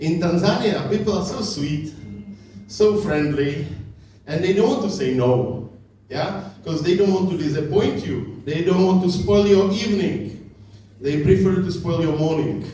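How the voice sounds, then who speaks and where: A man with a Czech accent talks at a fairly slow pace in a high pitch for a man, with ordinary pitch variation, noticeable background noise and audible room echo. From Czech Republic. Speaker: comedian. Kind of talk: stand-up. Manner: halting.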